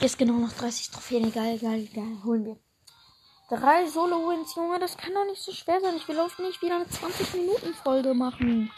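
At a moderate pace, a woman talks in a high voice with very wide pitch swings over noticeable background noise. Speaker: gaming podcaster. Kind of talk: live gameplay commentary. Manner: animated.

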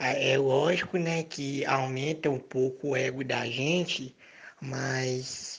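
Speaking at a very slow pace, a man with a fairly high voice keeps his intonation fairly even. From Brazil, Minas Gerais. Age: 20s. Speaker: fiction writer. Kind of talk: casual interview.

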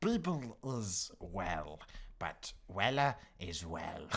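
A man puts on a character voice with a fairly low pitch. He delivers it at a very slow pace.

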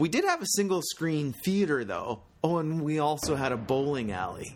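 A man with a Canadian accent and a normal speaking voice speaks at a fairly slow pace, his fairly high pitch moving in lively intonation on a very clean recording with a silent background. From Squamish, British Columbia, Canada. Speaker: local resident essayist. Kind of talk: scripted narration.

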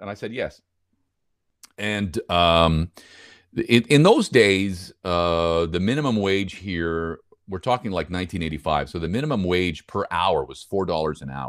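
With a Montreal accent, a man speaks in a very deep, low pitch and lively intonation. His loudness swings widely at a moderate pace. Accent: Montreal English Canadian. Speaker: broadcast voice-over announcer. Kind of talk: interview. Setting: video call. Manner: halting, many repeated words.

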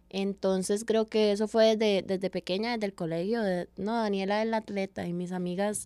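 A woman speaks in a dark, mellow tone at medium pitch with fairly even intonation. The recording is very clean with a silent background. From Costa Rica, Paso Ancho (San José). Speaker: hammer thrower, athlete. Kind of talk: interview.

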